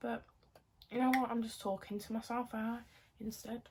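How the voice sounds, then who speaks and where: A woman's fairly high voice comes across as somewhat breathy. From southern England (Kent), later Birmingham. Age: 20s. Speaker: lifestyle and acting content creator. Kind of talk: casual get-ready-with-me chat. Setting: at home doing makeup, no music. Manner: chatty, filler-heavy.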